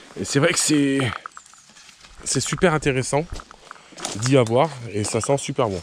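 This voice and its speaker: A fairly high-pitched man at a fairly slow pace, with ordinary pitch variation, long, frequent pauses and noticeable background noise. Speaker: nature vlogger. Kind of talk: outdoor vlog walk. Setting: outdoors. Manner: casual with hesitations; soft-spoken.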